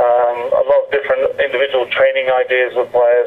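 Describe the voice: At a fairly quick pace, a man speaks at medium pitch with monotone, flat intonation.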